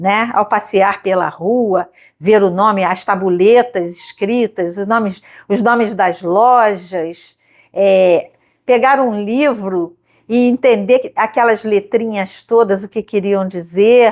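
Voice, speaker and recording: Her intonation fairly even, a woman speaks at a very slow pace on a very clean recording with a silent background. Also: medium pitch for a woman. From Brazil, Rio de Janeiro state (Nova Iguaçu). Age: 70s. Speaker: retired librarian and teacher. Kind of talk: life-story testimony interview.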